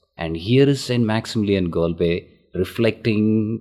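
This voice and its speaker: A man with an Indian accent speaks at a very slow pace in a very deep, low voice. His tone is dark and mellow, with ordinary pitch variation. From southern India. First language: Tamil. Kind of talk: interview.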